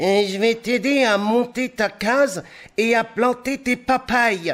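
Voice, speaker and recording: A put-on character voice speaks at a fairly slow pace. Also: man, extremely high pitch for a man. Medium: read story.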